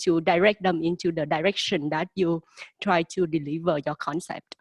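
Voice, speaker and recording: A woman speaks in a fairly low pitch and a flat monotone. The sound is dry and close, with no echo. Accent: non-native. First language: not English. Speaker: graduate student panelist. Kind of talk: panel discussion.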